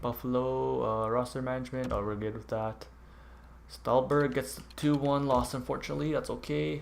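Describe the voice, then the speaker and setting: A man talks at a medium pitch with ordinary pitch variation. Audible room echo is present. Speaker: gaming YouTuber. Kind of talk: gameplay commentary. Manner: casual.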